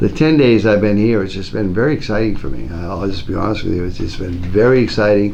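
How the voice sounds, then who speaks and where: A man with a fairly low pitch speaks at a very fast pace with hardly any pauses and ordinary pitch variation. Noticeable background noise and audible room echo fill the recording. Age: 60s. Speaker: school principal. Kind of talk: interview.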